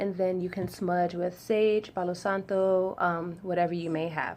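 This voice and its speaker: A woman is talking here. Her voice lands at a middle pitch. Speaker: spiritual ritual guide. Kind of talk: tutorial. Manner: fast.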